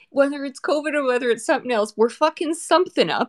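Lively intonation marks this woman's high-pitched speech. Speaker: podcast co-host, doctor. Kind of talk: casual chat.

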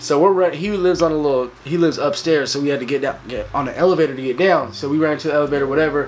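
A man's fairly high-pitched voice at a very fast pace, with ordinary pitch variation and music in the background. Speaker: podcast guest. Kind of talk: casual chat.

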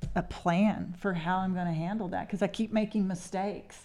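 On a very clean recording with a silent background, a woman with a Texas accent talks at a moderate pace in a fairly low pitch with monotone, flat intonation. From Texas Panhandle. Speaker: mayor. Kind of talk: interview.

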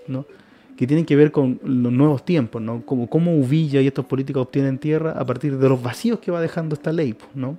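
Over noticeable background noise, a man talks at a fairly quick pace in a fairly high pitch with ordinary pitch variation. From Chile, Santiago. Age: 30s. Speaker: anthropologist. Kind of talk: interview. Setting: radio studio.

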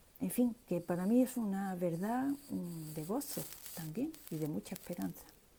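Here is a woman with a dark, mellow tone. Her voice is somewhat breathy. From Seville, Spain. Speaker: listener taking part. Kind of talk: personal testimony.

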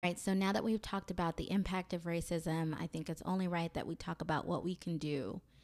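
In a very clean recording with a silent background, a woman with an American accent uses an ordinary speaking voice, fairly low in pitch, at a fairly quick pace with fairly even intonation. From US South, Mobile, Alabama. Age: 30s. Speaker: podcast host. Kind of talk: solo monologue.

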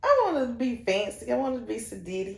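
A woman with a North Carolina accent, fairly high in pitch, with ordinary pitch variation. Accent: Southern US (North Carolina). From Shelby, North Carolina. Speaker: business owner, shoe boutique founder. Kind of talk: casual interview chat.

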